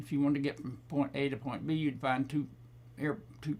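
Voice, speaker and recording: Talking at a fairly quick pace, a man with an Oklahoma accent uses a fairly high pitch. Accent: Southern Plains US (Oklahoma). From Oklahoma, US. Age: 90s. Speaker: war veteran. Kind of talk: testimony. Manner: halting.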